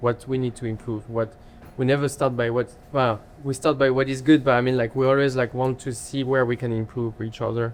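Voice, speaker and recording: A man with a French accent at a medium pitch, monotone and flat, moving at a fairly quick pace. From France. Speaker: chef and restaurant owner. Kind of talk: interview. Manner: halting.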